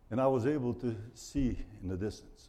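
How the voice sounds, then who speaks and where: The room adds an audible echo. The tone is dark and mellow. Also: man. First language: Portuguese. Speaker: missionary pastor. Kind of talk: sermon.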